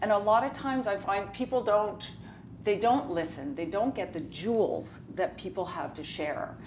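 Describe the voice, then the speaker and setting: A woman speaks with a Canadian accent and lively intonation. Room echo is audible. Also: medium pitch for a woman, moderate pace. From Saskatchewan, Canada. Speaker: reality TV personality. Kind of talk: casual chat.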